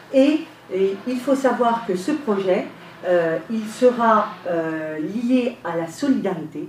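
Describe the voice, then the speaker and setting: Amid noticeable background noise and audible room echo, a woman speaks very slowly at a fairly high pitch with very wide pitch swings. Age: 50s. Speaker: local election candidate. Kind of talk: radio interview. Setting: radio studio, live.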